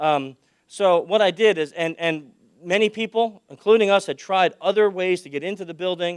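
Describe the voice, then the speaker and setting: Speaking at a moderate pace, a man with a high pitch shows big swings in loudness. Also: ordinary pitch variation. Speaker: security conference speaker. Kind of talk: conference talk. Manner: loud, projecting; animated.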